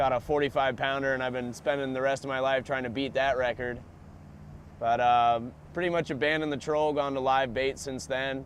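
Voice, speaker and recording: Here is a man with an ordinary speaking voice and an American accent. He talks at a fairly quick pace and a medium pitch, with fairly even intonation. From South Florida, USA. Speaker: sport fisherman and surfer. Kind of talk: interview answer. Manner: casual, laid-back.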